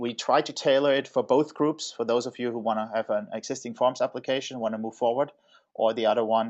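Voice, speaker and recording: A man with a German accent speaks at a moderate pace. His pitch is medium, with ordinary pitch variation. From Germany, Stuttgart. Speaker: software consultancy executive. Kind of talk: webinar presentation. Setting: online webinar. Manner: halting, many fillers.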